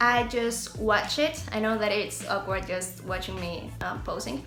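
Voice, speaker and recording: With a Spanish accent, a woman speaks at a moderate pace and a fairly high pitch, with ordinary pitch variation. Audible room echo and noticeable background noise are present. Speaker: beauty and lifestyle YouTuber. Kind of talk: tutorial. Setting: outdoors. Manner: soft-spoken outdoors.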